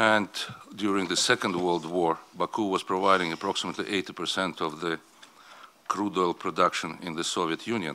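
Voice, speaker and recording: This man, with a non-native accent, has a very deep, low pitch and a bright, sharp tone. He talks at a fairly quick pace with fairly even intonation. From Azerbaijan. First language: not English. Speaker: oil company executive. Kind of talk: conference speech.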